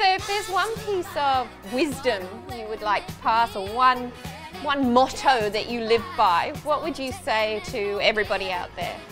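Over clear background music, a woman at a moderate pace uses a high pitch with very wide pitch swings. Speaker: dance teacher. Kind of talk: interviewer questions. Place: home room.

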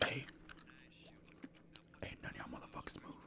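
The speaker, a man, whispers. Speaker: ASMR gaming creator. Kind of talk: gameplay commentary. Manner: whispered.

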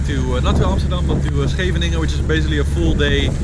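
Over loud background noise, a man talks with a dry sound that has no echo. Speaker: solo sailor vlogger. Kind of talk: casual vlog chat. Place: boat. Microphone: phone near.

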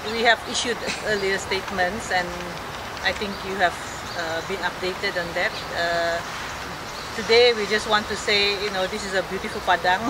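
A woman with long, frequent pauses over loud background noise. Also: moderate pace. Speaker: committee spokesperson. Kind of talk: press statement. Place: open country. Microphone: camera far.

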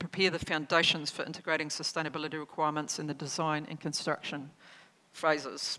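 A woman with a New Zealand accent talks at a fairly quick pace in a fairly low voice with a bright, sharp tone. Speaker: government agency chief executive; conference presenter. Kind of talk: conference keynote speech. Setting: stage with audience. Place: hall. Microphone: podium.

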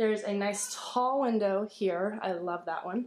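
In a room with audible echo, a woman speaks with ordinary pitch variation. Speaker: family vlogger. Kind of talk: casual vlog chat. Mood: upbeat, excited. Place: empty room. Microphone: phone near.

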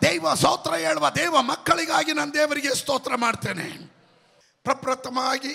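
Raising and projecting his voice, a man speaks at an extremely high pitch with lively intonation. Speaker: pastor. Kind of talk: sermon. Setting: church. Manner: loud. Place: church. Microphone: handheld.

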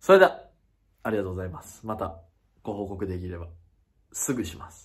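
A man talks at a fairly quick pace. His voice is somewhat breathy, with ordinary pitch variation. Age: 20s. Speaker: YouTuber. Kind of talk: casual vlog announcement. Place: home room. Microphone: phone near.

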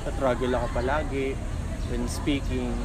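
A man against loud background noise. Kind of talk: interview answer. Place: street.

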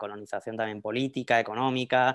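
A man speaks with a Madrid accent. His pace is fairly quick against a quiet background. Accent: Spanish from Spain (Madrid). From Spain, Madrid. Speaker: academic researcher; panelist. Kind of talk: lecture. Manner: halting, with fillers and repetitions. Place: home room. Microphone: earbuds.

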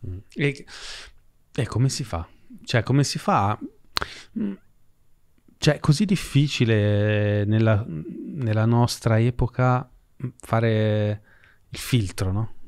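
Against a quiet background, a man speaks at a very slow pace with ordinary pitch variation and long, frequent pauses. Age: 40s. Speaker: podcast host and financial educator; podcast host, financial educator. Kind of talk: conversational interview. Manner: casual, animated. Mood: casual, conversational. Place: studio. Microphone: studio mic.

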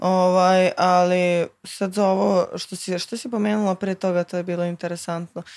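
Against a quiet background, a woman speaks at a moderate pace. Her intonation is monotone and flat. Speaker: guest. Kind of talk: casual chat. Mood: relaxed, casual. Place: studio. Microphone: studio mic.

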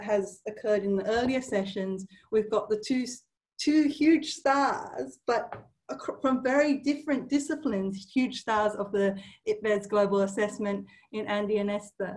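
In a quiet background, a woman speaks in a somewhat breathy voice. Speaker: workshop host. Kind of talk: session introduction. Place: office. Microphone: webcam.

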